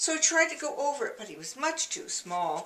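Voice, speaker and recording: A woman's pitch swings very widely as noticeable background noise carries on. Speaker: grandmother reading children's books. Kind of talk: children's storytime reading.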